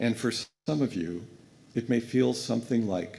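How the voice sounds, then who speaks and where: A man speaks at a moderate pace with vocal fry. The recording is very clean, with a silent background. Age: 60s. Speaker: guest minister. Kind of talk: sermon. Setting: church pulpit.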